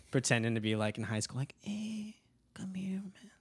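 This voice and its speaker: Speaking at a moderate pace with an American accent, a man uses lively intonation in a plain, everyday voice. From Texas (Dallas). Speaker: musician and video creator. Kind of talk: casual chat.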